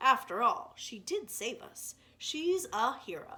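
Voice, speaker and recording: Putting on a character voice, a woman speaks at a fairly slow pace in a high pitch that swings very widely. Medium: read story. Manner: formal, grandiose phrasing.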